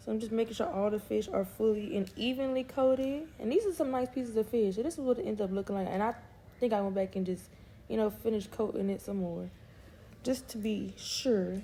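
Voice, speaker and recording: Her voice has a fairly high pitch and a dark, mellow tone, somewhat breathy with ordinary pitch variation. The woman keeps a fairly quick pace. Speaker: family vlogger, mom. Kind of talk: cooking tutorial vlog. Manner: casual, chatty.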